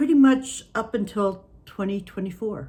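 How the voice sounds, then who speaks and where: The voice is somewhat breathy, moving at a fairly slow pace with lively intonation. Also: woman. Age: 60s. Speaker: stroke survivor. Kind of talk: casual talk to camera.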